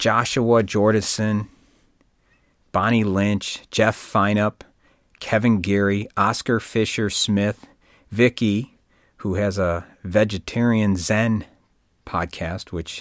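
On a very clean recording with a silent background, a man with a fairly low pitch speaks at a very slow pace with long, frequent pauses. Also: fairly even intonation. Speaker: podcast host. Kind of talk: scripted solo podcast monologue. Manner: clean, scripted, book-on-tape delivery; some uhs and filler words.

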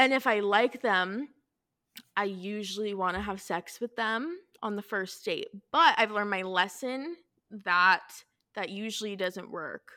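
At a fairly slow pace with long, frequent pauses, a woman speaks in an animated tone at medium pitch with ordinary pitch variation. Her tone is bright and sharp, on a very clean recording with a silent background. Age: 20s. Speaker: podcast guest, fellow podcaster. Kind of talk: casual chat.

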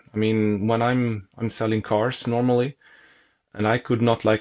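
Speaking in a Swedish accent, a man keeps a monotone, flat intonation at medium pitch and a moderate pace. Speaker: tennis reporter and racquet reviewer. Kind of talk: casual chat.

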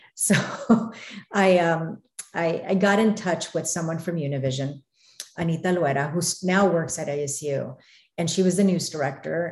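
A woman speaks at a moderate pace with an American accent. Her voice is somewhat breathy and fairly low, with ordinary pitch variation. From Arizona, US. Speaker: news reporter. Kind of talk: casual interview chat.

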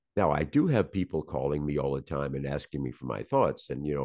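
Speaking fairly quickly with an American accent, a man uses a very deep, low voice with vocal fry and ordinary pitch variation. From US South, Virginia. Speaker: surgeon and podcaster. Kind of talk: casual interview.

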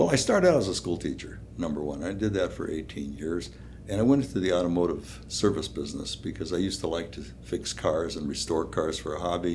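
In an American accent, a man with a very deep, low voice talks at a fairly quick pace with lively intonation, and the room echo is audible. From Minnesota (Duluth). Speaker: small-town mayor, Vietnam veteran. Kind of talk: interview conversation.

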